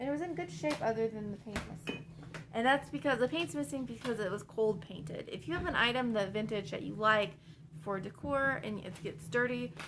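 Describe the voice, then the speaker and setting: Over noticeable background noise, a woman with a medium pitch talks at a fairly quick pace, her pitch swinging very widely. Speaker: online reseller, vlogger. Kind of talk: casual haul vlog. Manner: fast; casual, chatty.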